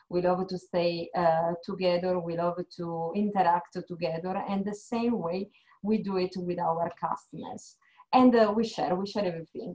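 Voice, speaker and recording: Against a quiet background, a woman with an Italian accent speaks at a moderate pace in a medium pitch and fairly even intonation. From Italy. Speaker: HR manager. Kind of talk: informational presentation. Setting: video call. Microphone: video call.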